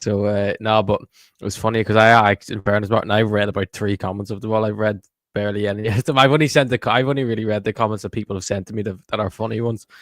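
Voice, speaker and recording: A man speaks at a very fast pace with fairly even intonation and a fairly low pitch. The sound is dry and close with no echo, on a very clean recording with a silent background. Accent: Irish. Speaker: football podcast co-host. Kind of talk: live podcast chat.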